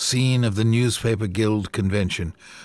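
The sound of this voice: Someone reads a passage. The delivery is an unforced reading voice.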